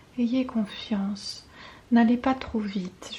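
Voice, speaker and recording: A calm tone at a very slow pace. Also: woman. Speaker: intuitive guidance reader and ASMR creator. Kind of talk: ASMR guidance reading. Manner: soft, calm, relaxing.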